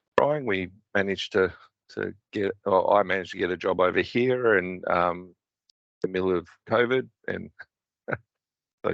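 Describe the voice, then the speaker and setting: Against a quiet background, a man with an Australian accent talks at a very deep, low pitch. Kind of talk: presentation.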